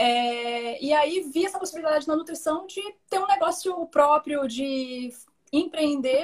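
A high-pitched woman at a fairly slow pace, with ordinary pitch variation. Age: 30s. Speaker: nutritionist. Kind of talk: live stream interview.

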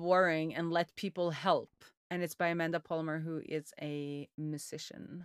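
A woman with a Norwegian accent and fairly low pitch in a very clean recording with a silent background. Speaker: software developer and indie hacker. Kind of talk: casual interview chat.

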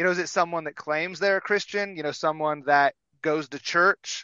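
The speaker is a man with a high pitch. He talks at a moderate pace. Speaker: podcaster guest. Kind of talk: casual roundtable discussion.

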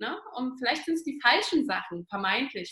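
Lively intonation shapes this woman's speech. Her voice sits high. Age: 20s. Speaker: business consultant, trainee naturopath. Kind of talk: interview.

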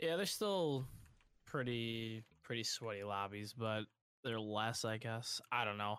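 Recorded very cleanly against a silent background, a man speaks at medium pitch and a fairly slow pace with a bright, sharp tone, very even loudness and ordinary pitch variation. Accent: American. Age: 20s. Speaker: gamer. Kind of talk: casual chat.

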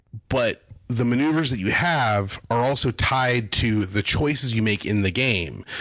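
The delivery is fairly slow, with very even loudness and ordinary pitch variation. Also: man, medium pitch for a man. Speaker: cartoonist and animation director. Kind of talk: casual chat. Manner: animated.

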